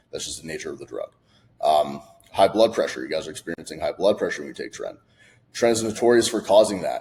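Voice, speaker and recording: The loudness shows big swings. This man's delivery comes at a very fast pace. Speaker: fitness coach. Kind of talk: casual talking-head video. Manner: animated.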